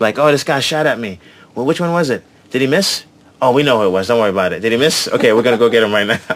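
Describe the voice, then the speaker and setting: A man's medium-pitched voice with a New York accent, very fast and animated, with lively intonation, over noticeable background noise. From New York City, Brooklyn and Queens. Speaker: comedian. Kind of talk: casual chat. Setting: outdoors.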